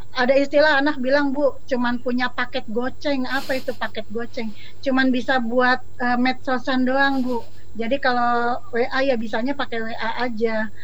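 Moderate pace and monotone, flat intonation. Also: woman, high pitch for a woman. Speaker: school counselor. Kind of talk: panel discussion. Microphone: connection breaking up at times.

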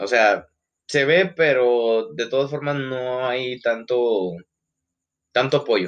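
A man speaks at a very slow pace, leaving long, frequent pauses. His pitch is medium, with ordinary variation. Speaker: podcast co-host. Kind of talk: casual chat.

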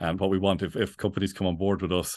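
The speech comes at a very fast pace. It is delivered with an Irish accent. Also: man. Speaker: bee sanctuary founder. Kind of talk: interview conversation. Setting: remote call. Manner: halting, many repetitions.

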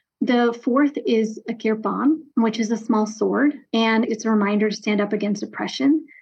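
With an American accent, a woman talks at a moderate pace in a fairly high, somewhat breathy voice. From US East Coast (DC area, New Jersey). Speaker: nonprofit executive director. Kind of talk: interview.

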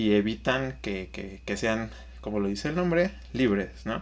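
A man with a Mexican accent talks at a fairly slow pace. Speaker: podcast co-host, accountant. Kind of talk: casual chat.

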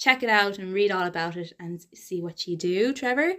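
In an Irish accent, a woman with a medium pitch and ordinary pitch variation speaks at a moderate pace on a very clean recording with a silent background. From Ireland. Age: young. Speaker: podcast host. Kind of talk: casual interview. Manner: animated.

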